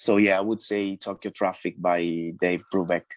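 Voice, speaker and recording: With an Italian accent, a man talks at a moderate pace in a fairly low, flat monotone, recorded very cleanly against a silent background with a dry, close sound and no echo. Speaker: DJ, producer and musician. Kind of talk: radio interview. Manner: halting, many fillers and restarts.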